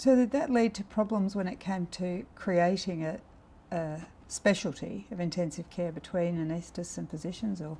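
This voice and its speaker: A woman speaks at a medium pitch and moderate pace. Her voice is somewhat breathy, with ordinary pitch variation. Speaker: anaesthetist, oral history interviewer. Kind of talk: interview questions.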